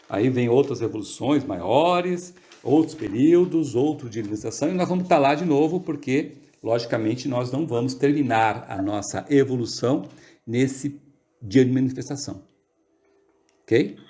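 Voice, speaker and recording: A man talks fairly slowly at a medium pitch, his tone dark and mellow. His pitch varies in an ordinary way against a quiet background. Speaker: study group leader. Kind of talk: lecture. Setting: video call.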